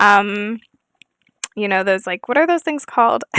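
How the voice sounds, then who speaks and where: A soft-spoken woman with a bright, sharp tone, in dry, close sound with no echo. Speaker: gaming YouTuber. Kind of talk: casual gameplay chat. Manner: halting, many fillers.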